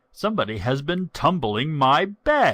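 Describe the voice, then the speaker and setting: A growling, put-on character voice from a man, pitched fairly high. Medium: read story.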